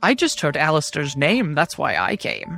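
Over faint music in the background, a put-on character voice speaks at a middle pitch and a moderate pace. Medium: actual play. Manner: gruff.

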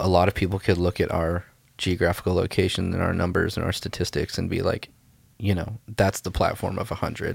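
On a very clean recording with a silent background, a man with an American accent speaks at a fairly quick pace in a very deep, low, somewhat breathy voice with monotone, flat intonation. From US South, Mobile, Alabama. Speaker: creative pastor and church musician. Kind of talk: casual chat.

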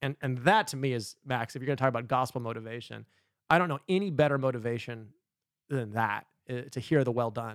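A man talks at a fairly quick pace in a plain, everyday voice with ordinary pitch variation, the sound dry and close with no echo on a very clean recording with a silent background. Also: medium pitch for a man. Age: 30s. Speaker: pastor. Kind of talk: podcast chat on faith and habits. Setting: studio, sitting next to co-host.

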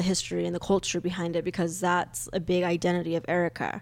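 A woman speaks at a fairly quick pace in a medium pitch. She has an ordinary speaking voice on a very clean recording with a silent background. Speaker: co-host and parent of deaf child. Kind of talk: casual interview chat.

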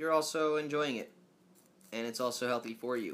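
A man's voice with ordinary pitch variation. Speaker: podcast host.

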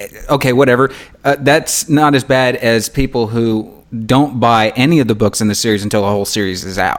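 Here a man talks at a fairly quick pace in a normal speaking voice. His medium pitch shows ordinary pitch variation. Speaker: podcast host and author. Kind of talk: casual interview chat.

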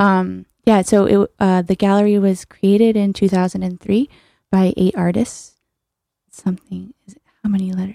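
A woman with an American accent speaks at a moderate pace in a medium pitch, her dark, mellow tone delivered with monotone, flat intonation and big swings in loudness in a dry, close sound with no echo. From US Northeast (New Haven, Connecticut). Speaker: artist, gallery member. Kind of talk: radio interview.

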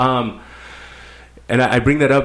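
An unremarkable speaking voice at a moderate pace, with an American accent. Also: man. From Mexico, border region near California. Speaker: army veteran. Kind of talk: casual chat.

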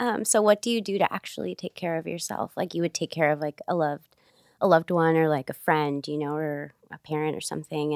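In a plain, everyday voice, a woman with an American accent speaks at a moderate pace with fairly low pitch and ordinary pitch variation, on a very clean recording with a silent background and a dry, close sound with no echo. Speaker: small business owner. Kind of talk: casual interview chat.

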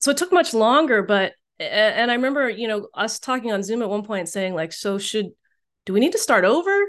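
Someone talks at a moderate pace with an American accent and lively intonation. The background is quiet. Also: woman. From US, Chinese American. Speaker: campus ministry director and author. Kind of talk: talk to a church group. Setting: video call with screen share. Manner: halting, many fillers.

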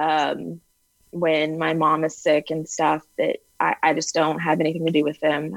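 Woman with an American accent, very deep and low in pitch, at a moderate pace. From US Texas. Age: 30s. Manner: monotone; unanimated.

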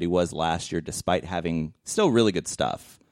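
A man talks at a moderate pace in an animated tone, in a dry, close sound with no echo. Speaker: sports podcast host. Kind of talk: casual banter. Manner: animated, joking.

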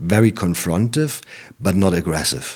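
Speaking at a moderate pace with a German accent, this man has a very deep, low pitch and ordinary pitch variation, captured on a very clean recording with a silent background. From East Germany, small town. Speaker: anti-extremism worker. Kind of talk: interview. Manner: halting.

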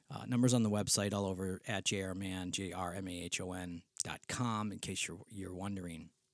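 With a Western New York accent, the speaker talks at a fairly quick pace in a very clean recording with a silent background. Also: man, very deep, low pitch for a man. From Western New York State. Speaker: spiritual director and podcast host. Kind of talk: casual solo podcast monologue. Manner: informal, rambling, animated, with fillers.

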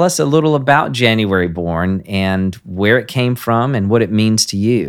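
Heard in a very clean recording with a silent background, a man with a normal speaking voice talks at a fairly slow pace with lively intonation. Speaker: podcast host. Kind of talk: interview, casual warm chat.

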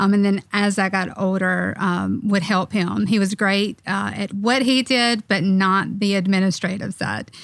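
At a fairly slow pace, a woman speaks in a normal speaking voice, medium in pitch with fairly even intonation. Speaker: firm administrator. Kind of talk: casual team podcast chat. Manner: uses many filler words.

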